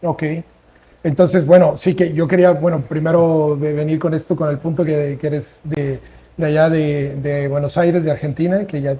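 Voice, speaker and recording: A man talks at a moderate pace with a fairly high pitch and a dark, mellow tone. His intonation is monotone and flat, and the voice is somewhat breathy. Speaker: podcast host. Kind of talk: casual interview. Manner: halting, repetitive.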